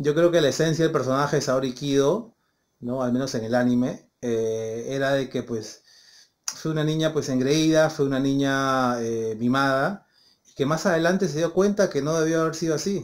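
With ordinary pitch variation and a fairly high pitch, a man speaks at a moderate pace. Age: 30s. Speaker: YouTuber, anime commentator. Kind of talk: casual video monologue. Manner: halting, many fillers and repetitions. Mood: calm, opinionated. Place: home room. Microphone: phone near.

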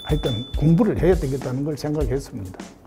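A man's voice over clear music in the background. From South Korea. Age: 80s+. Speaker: elderly university freshman. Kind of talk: interview answer. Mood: calm, reflective. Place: classroom.

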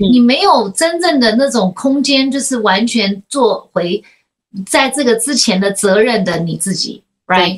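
Against a quiet background, a woman speaks at a fairly slow pace. Her voice is fairly high with lively intonation. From United States. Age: 40s. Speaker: podcast host; talk show guest. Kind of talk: casual chat. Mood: reflective, earnest. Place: home room. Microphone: video call.

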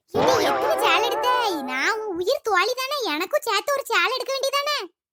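In a cartoonish character voice, a woman speaks at an extremely high pitch with very wide pitch swings at a moderate pace. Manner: chatty, teasing.

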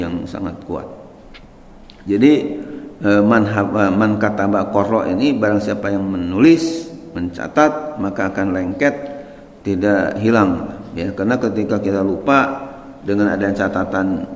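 With audible room echo, a man speaks with ordinary pitch variation and long, frequent pauses. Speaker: religious teacher. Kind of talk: religious lecture on a book. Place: church.

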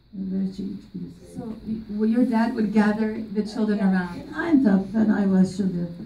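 Audible room echo surrounds the voice. A woman speaks in an Armenian accent. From Turkey, Armenian community. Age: 80s+. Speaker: genocide survivor; interviewee. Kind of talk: testimony. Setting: stage with audience. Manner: talkative. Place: classroom.

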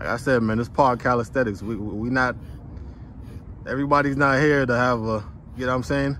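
The speech has fairly even intonation and a fairly quick pace, broken by long, frequent pauses, with a dry sound with no echo and light background noise. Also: man, medium pitch for a man. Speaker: fitness vlogger interviewer. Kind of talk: casual talk to camera. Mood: upbeat, encouraging. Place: open country. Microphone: phone near.

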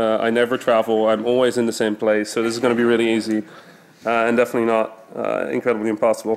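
A man speaking at a fairly quick pace. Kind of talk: conference talk. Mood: joking, self-ironic. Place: stage.

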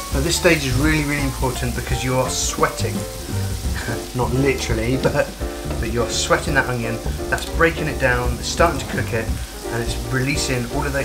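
A man at a fairly quick pace with clear music in the background. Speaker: cooking show host. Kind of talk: tutorial. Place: kitchen.

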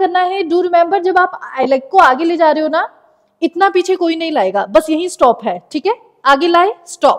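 At a moderate pace, a woman with an extremely high pitch speaks with lively intonation against a quiet background. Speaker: yoga instructor. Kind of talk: class instruction. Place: home room. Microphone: lapel.

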